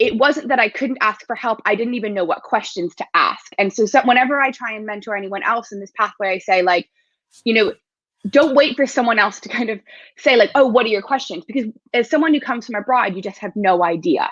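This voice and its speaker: A woman with an American accent speaks at a fairly high pitch. She moves at a fairly quick pace with ordinary pitch variation. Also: big swings in loudness. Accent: American, becoming more British. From United States. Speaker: sport psychologist. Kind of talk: interview.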